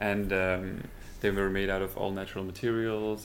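A man's fairly low, monotone voice with flat intonation and audible room echo. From Belgium. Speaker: fashion designer and shoe brand co-founder. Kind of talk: casual interview.

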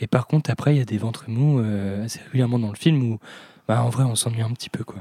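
The voice has a dark, mellow tone and fairly even intonation at a very fast pace. The sound is dry and close, with no echo. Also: man, medium pitch for a man. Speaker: podcast host. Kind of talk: casual chat.

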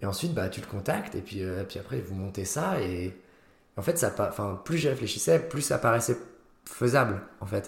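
Somewhat breathy, a man speaks at a fairly low pitch and moderate pace, his pitch swinging very widely. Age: 20s. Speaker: student and comedy club founder. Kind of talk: casual interview chat.

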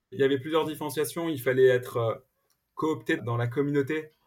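A somewhat breathy man at a fairly quick pace, with fairly even intonation. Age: 40s. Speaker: entrepreneur. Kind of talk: interview. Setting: remote recording from home. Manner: halting, many repetitions and fillers.

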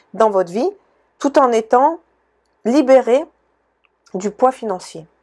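On a very clean recording with a silent background, a woman is heard. She speaks fairly slowly, with ordinary pitch variation. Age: 40s. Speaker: podcast host, personal development coach. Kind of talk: solo podcast monologue. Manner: hesitant, many fillers.

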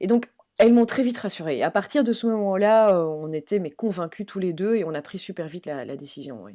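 In a very clean recording with a silent background, a woman with a dark, mellow tone speaks at a medium pitch and a fairly quick pace, with lively intonation and big swings in loudness. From Belgium. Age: 40s. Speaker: travel professional and expat mother. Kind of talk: interview.

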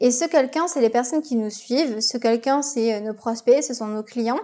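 This woman's voice sits high in pitch, with a dark, mellow tone. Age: 20s. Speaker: business coach and podcast host. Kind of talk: solo podcast Q&A. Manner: casual, hesitant with fillers.

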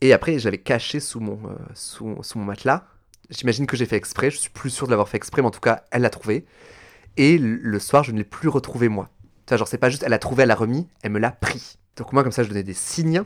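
A man's plain, everyday voice at medium pitch, fairly quick, with ordinary pitch variation and big swings in loudness, on a very clean recording with a silent background. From France, Toulouse. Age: 30s. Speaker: drag performer. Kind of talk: casual interview.

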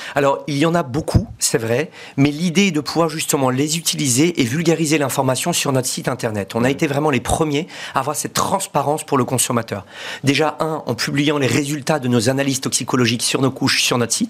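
With noticeable background noise behind him, a man speaks at a fairly quick pace, his fairly high pitch showing ordinary variation. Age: 40s. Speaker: entrepreneur. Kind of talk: interview.

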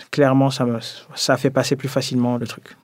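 This is a man speaking. His pitch is medium. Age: 20s. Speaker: energy consultant. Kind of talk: testimony.

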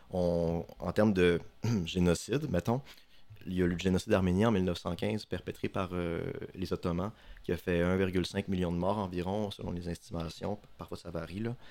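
Speaking at a moderate pace, a man uses a very deep, low voice. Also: fairly even intonation. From Quebec, Saguenay (Chicoutimi). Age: 20s. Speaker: student, podcast columnist. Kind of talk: casual podcast chat.

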